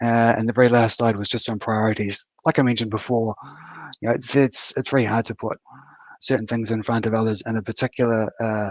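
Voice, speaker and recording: Over a dry, close sound with no echo, a man with a New Zealand accent talks at a very fast pace, medium in pitch and monotone, flat in intonation. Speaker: software architect, conference speaker. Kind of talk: conference talk. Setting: online live stream. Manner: halting, many fillers and repeats.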